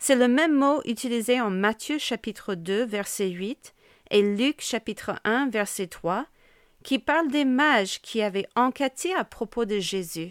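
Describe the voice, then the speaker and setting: A woman talks at a very slow pace in a fairly high pitch with lively intonation, recorded very cleanly against a silent background with a dry, close sound and no echo. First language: English (speaking French). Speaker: pastor's wife and podcast host. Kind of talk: devotional teaching.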